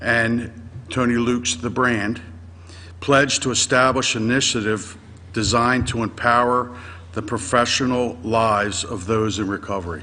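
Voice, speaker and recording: A man's medium-pitched voice with an American accent, bright and sharp in tone, at a moderate pace with ordinary pitch variation and audible room echo. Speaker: restaurant franchise representative. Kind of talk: roundtable introduction.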